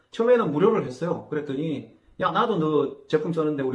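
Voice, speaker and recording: Audible room echo surrounds a man speaking at a moderate pace. His fairly high pitch shows ordinary pitch variation. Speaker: agricultural consultant. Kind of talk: interview. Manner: hesitant fillers.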